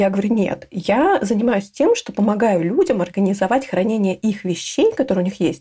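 A woman talks in an unremarkable speaking voice with lively intonation. Her pace is moderate. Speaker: home organizer. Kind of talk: interview.

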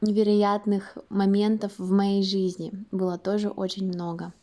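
In a very clean recording with a silent background, a woman speaks in a medium-pitched voice with a dark, mellow tone. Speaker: student and artist. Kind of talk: recorded monologue.

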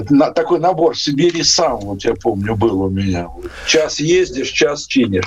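Over noticeable background noise, a man with a fairly high pitch speaks at a fairly slow pace with very wide pitch swings. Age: 60s. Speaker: infectious disease doctor. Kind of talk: radio interview. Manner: halting.

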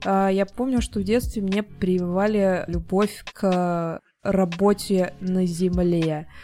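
The voice moves at a very slow pace, dark and mellow in tone, with fairly even intonation. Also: woman, medium pitch for a woman. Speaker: podcast co-host. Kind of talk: casual chat.

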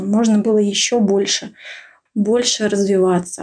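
A woman's somewhat breathy, fairly high voice with a dark, mellow tone. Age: 30s. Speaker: radiologist. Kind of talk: recorded monologue. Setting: remote recording.

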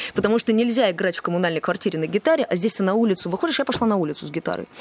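Noticeable background noise sits behind a dry, close sound with no echo. A woman talks at a very fast pace with very wide pitch swings. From Moscow, Russia. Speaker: singer-songwriter and restaurant manager. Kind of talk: casual interview.

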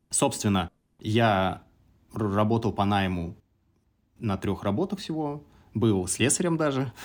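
Speaking very slowly with long, frequent pauses, a man with a fairly low pitch uses lively intonation on a very clean recording with a silent background. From Samara region, Russia. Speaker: entrepreneur. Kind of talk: casual interview.

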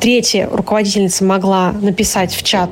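A woman with a medium pitch talks while noticeable background noise plays behind her. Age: 20s. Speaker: English teacher, listener telling her story. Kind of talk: recorded personal testimony.

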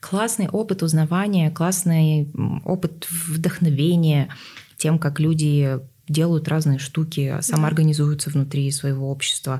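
A woman speaks at a very slow pace in a very deep, low pitch, her dark, mellow tone somewhat breathy, with very even loudness and fairly even intonation. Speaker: podcast host. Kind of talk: casual interview chat.

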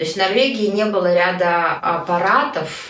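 Against noticeable background noise and audible room echo, a woman speaks fairly slowly at a medium pitch with ordinary pitch variation. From Moscow, Russia. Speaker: emigrant mother. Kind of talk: interview.

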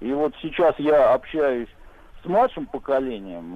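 A man speaks with very wide swings in pitch. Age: 40s. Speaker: caller. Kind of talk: casual chat. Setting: phone call.

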